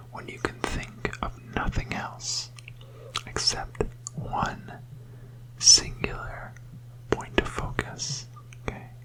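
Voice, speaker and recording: A very slow, gentle whisper with long, frequent pauses over noticeable background noise. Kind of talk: ASMR sleep hypnosis, gentle whispered talk while showing objects. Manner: gentle, whispering, slow.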